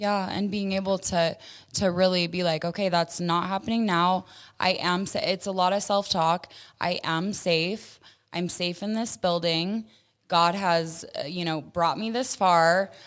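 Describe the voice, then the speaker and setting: On a very clean recording with a silent background, a woman talks in a normal speaking voice at medium pitch, with fairly even intonation and a fairly slow pace. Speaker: sex trafficking survivor. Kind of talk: interview.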